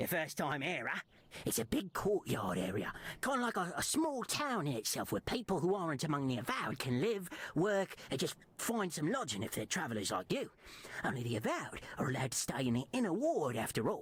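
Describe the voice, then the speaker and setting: A man's put-on character voice at a fairly high pitch, with very wide pitch swings, very even loudness, and a fairly quick pace. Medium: machinima. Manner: casual, sly.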